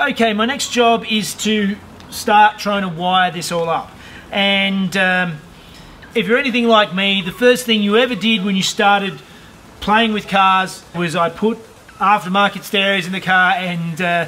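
A man speaks in a raised, projected voice. His intonation is fairly even and his pace fairly slow. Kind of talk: tutorial. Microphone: camera far.

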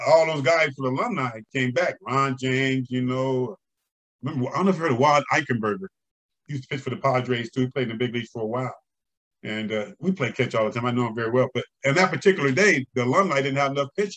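A man talks at a very fast pace. His pitch variation is ordinary, and the background is quiet. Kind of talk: interview answer. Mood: animated, laughing storytelling. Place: home room. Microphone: video call.

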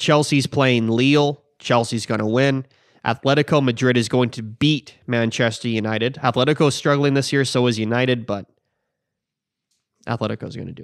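A man at a fairly quick pace, fairly even intonation, quiet background. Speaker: podcast co-host. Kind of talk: casual sports prediction talk. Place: garage. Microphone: studio mic.

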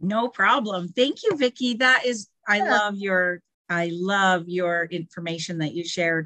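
A woman's very slow speech with lively intonation. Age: 50s. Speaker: primary school teacher. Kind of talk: personal testimony. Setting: video call.

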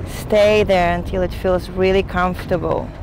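Slow and fairly low, a woman's voice moves little in pitch.

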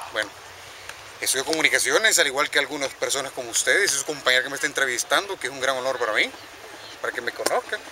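Very fast speech with ordinary pitch variation over noticeable background noise. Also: man, fairly high pitch for a man, dry sound with no echo. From El Salvador. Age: 20s. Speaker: track and field athlete. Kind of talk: interview. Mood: earnest, somewhat critical. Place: stadium. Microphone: camera far.

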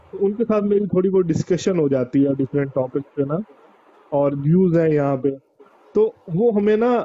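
At a moderate pace, a man with a high pitch speaks with long, frequent pauses. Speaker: PhD student caller. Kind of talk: call-in question. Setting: call into online broadcast. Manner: halting. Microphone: video call.

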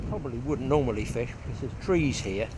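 A man speaks over light background noise. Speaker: fly fishing instructor. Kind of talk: tutorial. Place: waterside. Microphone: phone near.

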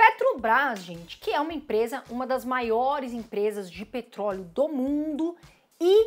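A woman with a Brazilian accent, high-pitched and animated, with very wide pitch swings at a fairly slow pace. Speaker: investing YouTuber. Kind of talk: informal educational vlog. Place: home room.

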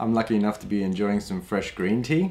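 A man's voice at a fairly quick pace with very wide pitch swings. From Australia. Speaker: Chinese medicine practitioner; health course teacher. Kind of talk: online course introduction. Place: home room.

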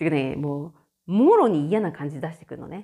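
A woman's voice carries a dark, mellow tone with very wide pitch swings. The recording is very clean, with a silent background. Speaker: podcaster and care home worker. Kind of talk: casual solo talk. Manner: loud.

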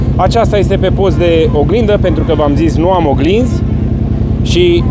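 Music plays behind a man talking at a fairly slow pace, the sound dry with no echo. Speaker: ATV owner reviewing a gadget. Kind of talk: casual vlog chat. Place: street.

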